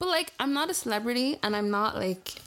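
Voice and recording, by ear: A woman's fairly high, fairly bright voice with lively intonation at a fairly quick pace.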